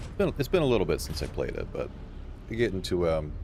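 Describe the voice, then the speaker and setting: The speech carries an audible room echo. It moves at a fairly quick pace. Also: man. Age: 30s. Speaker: gaming streamer. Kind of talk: casual chat. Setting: live stream. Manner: halting.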